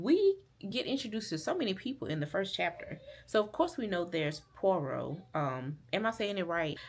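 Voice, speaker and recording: In a Southern US accent, a woman speaks at a moderate pace and medium pitch, her pitch swinging very widely. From US South, rural Alabama. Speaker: book vlogger. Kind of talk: casual vlog talk to camera. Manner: casual, with many fillers.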